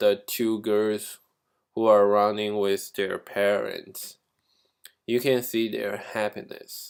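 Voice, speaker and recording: A man with a Chinese accent on a very clean recording with a silent background. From China. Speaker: graduate student. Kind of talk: class presentation. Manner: halting, with fillers.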